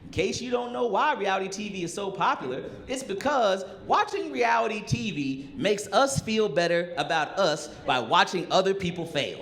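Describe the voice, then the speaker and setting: A man's high voice at a moderate pace, with very wide pitch swings, hardly any pauses and noticeable background noise. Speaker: stand-up comedian. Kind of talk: live stand-up comedy special. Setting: live comedy club with audience. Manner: casual, sarcastic, punchy.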